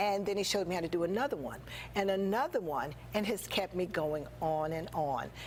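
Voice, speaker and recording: A woman talks at a fairly quick pace in a fairly low pitch. Her intonation is lively, and vocal fry runs through her voice. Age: 60s. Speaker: small business owner. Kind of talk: interview.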